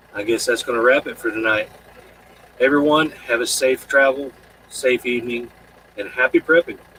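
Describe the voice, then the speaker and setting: Speaking at a moderate pace with long, frequent pauses, a man sounds dry and close, with no echo but noticeable background noise. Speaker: live stream host. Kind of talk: casual chat. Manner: halting.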